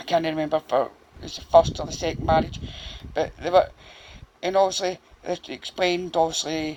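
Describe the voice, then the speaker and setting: In a Glaswegian accent, the speech runs at a fairly quick pace broken by long, frequent pauses, with noticeable background noise. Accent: Glaswegian Scottish. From Scotland, Glasgow (Castlemilk). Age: 40s. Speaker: true crime YouTuber. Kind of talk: casual storytelling monologue to camera. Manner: halting, many fillers.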